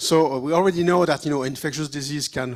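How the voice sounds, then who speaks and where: With a French accent and ordinary pitch variation, the speaker comes through on a very clean recording with a silent background. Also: man. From France. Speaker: virologist. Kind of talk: short talk to a conference audience. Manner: halting, many fillers.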